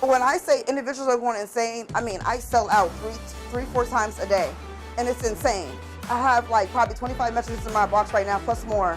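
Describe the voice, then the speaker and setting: Over music in the background, a woman speaks at a very fast pace. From Erie, Pennsylvania. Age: 30s. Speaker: cook and food vendor. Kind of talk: interview answer.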